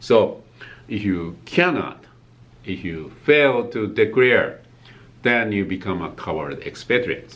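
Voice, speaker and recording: A man with a Japanese accent talks at a very slow pace with long, frequent pauses, and room echo is audible. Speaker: tax accountant. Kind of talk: tutorial. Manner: halting, many fillers.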